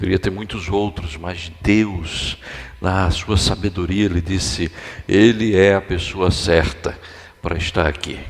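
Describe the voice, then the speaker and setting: A man talks at a fairly slow pace in a very deep, low voice. His intonation stays fairly even over noticeable background noise. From Brazil, Recife, Pernambuco. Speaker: guest pastor. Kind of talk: sermon. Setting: church.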